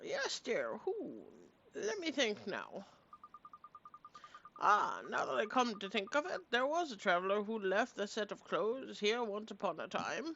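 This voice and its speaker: A woman speaks at a moderate pace in a put-on character voice, pitched fairly high, with long, frequent pauses. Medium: actual play. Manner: kindly, fussy, hooting.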